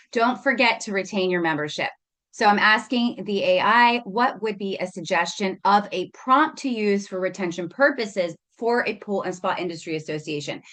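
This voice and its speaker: A woman speaks in a normal speaking voice at a moderate pace, with medium pitch, ordinary pitch variation and a quiet background. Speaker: marketing agency presenter. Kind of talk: webinar presentation. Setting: video call webinar with screen share.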